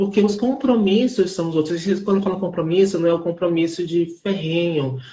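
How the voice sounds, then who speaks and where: A woman speaks at a fairly low pitch and a moderate pace, somewhat breathy. Her pitch varies in an ordinary way, and she hardly pauses. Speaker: theater artist. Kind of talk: live interview. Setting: online live stream. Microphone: unstable internet connection.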